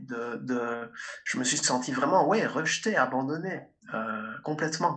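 A man speaks at a fairly slow pace in a normal speaking voice. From Belgium, Liège. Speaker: speaker and coach. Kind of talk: interview.

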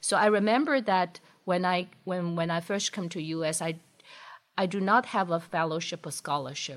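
Speaking with a Chinese accent, a woman uses a fairly low pitch, ordinary pitch variation and a moderate pace. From China, Shanghai. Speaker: engineering professor. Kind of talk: interview.

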